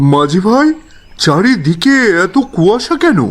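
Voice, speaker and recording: Using a put-on character voice, a man speaks at a high pitch with very wide pitch swings. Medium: read story. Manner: tense, hurried.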